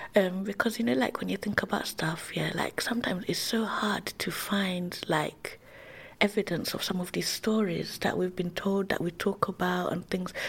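A woman talks with a London accent. Her medium-pitched voice keeps fairly even intonation. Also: moderate pace. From East London (Tower Hamlets). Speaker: illustrator and educator. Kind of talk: casual interview chat.

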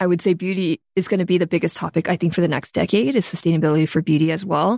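A woman with an American accent and a fairly low pitch, at a very fast pace, on a very clean recording with a silent background and a dry, close sound with no echo. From US West Coast, Los Angeles. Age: 30s. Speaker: beauty entrepreneur. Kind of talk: interview conversation.

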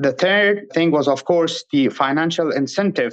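A man with an Afghan accent at a moderate pace. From Afghanistan. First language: Pashto. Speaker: former interpreter and author. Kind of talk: interview conversation.

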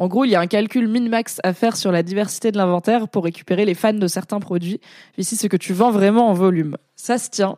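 On a very clean recording with a silent background and a dry, close sound with no echo, a woman speaks at a medium pitch in a dark, mellow tone, keeping a fairly quick pace and fairly even intonation. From France, Drôme (Valence). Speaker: content creator and streamer. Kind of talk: casual livestream chat. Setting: Twitch livestream.

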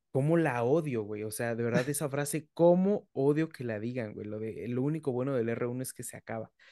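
A dark, mellow tone with ordinary pitch variation moves at a moderate pace with hardly any pauses. Loudness swings widely against a quiet background. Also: man, medium pitch for a man. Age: 30s. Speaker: physician and podcast host. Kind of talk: casual chat.

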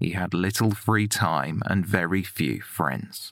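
A man with vocal fry speaks at a fairly slow pace with ordinary pitch variation on a very clean recording with a silent background. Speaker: podcast narrator. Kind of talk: true-crime narration, scripted and read aloud. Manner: measured, sombre, steady; formal, deliberate.

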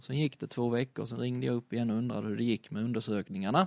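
A man with an unremarkable speaking voice talks at a medium pitch with ordinary pitch variation. The sound is dry and close with no echo, over a quiet background. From southern Sweden (Skåne, Kristianstad area). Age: 30s. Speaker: rally driver and motorsport retailer. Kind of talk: casual interview.

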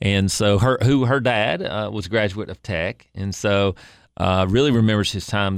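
A man speaks with an East Tennessee accent. The recording is very clean, with a silent background. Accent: East Tennessee Southern US. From Upper East Tennessee (Kingsport). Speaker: state legislator. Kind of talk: interview.

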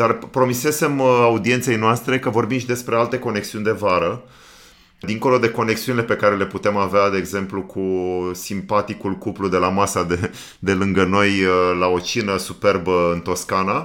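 A man talks at a moderate pace with a fairly low pitch. He has a plain, everyday voice with ordinary pitch variation. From Romania, Danube region. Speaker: podcast co-host and producer. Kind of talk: casual chat.

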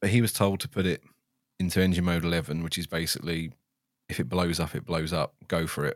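Very deep and low in pitch, a man speaks at a very fast pace in a very clean recording with a silent background. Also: ordinary pitch variation, dry, close sound with no echo. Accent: southern English. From England, Stevenage, Hertfordshire. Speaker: ex-F1 systems engineer turned content creator. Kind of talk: casual chat.

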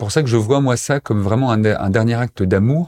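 A man's dark, mellow voice at a fairly quick pace, with ordinary pitch variation, in a dry, close sound with no echo and a very clean recording against a silent background. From eastern France, Montbéliard. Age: 30s. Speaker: association president, end-of-life rights advocate. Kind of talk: personal testimony interview. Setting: studio, seated back to back with host.

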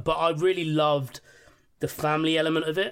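A fairly high-pitched man with a London accent, talking at a fairly quick pace. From West London, England. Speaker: podcast guest. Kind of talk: casual chat.

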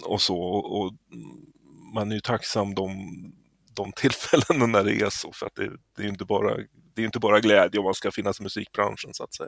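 In a normal speaking voice, a man talks fairly quickly at a fairly low pitch with fairly even intonation. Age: 50s. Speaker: musician. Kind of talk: interview.

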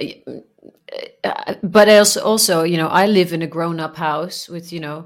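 On a very clean recording with a silent background, a woman with a Dutch accent speaks at a fairly slow pace in a fairly low voice with fairly even intonation. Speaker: podcast co-host. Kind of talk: casual chat.

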